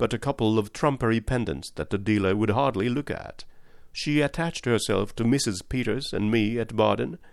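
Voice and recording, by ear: With ordinary pitch variation, a speaker reads aloud in a natural voice.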